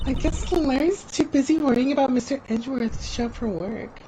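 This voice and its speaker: At a moderate pace, a female-sounding voice puts on a high-pitched character voice with clear background noise behind it. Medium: game stream. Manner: bright, chatty.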